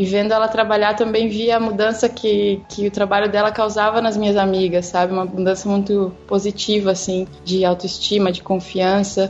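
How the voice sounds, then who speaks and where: Flat, monotone intonation from a woman, with noticeable noise behind her. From southern Brazil (Rio Grande do Sul). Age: 20s. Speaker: portrait photographer. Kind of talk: casual chat.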